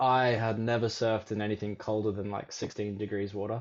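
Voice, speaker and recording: A man with an Australian accent at a moderate pace. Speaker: surf coach. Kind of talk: casual chat.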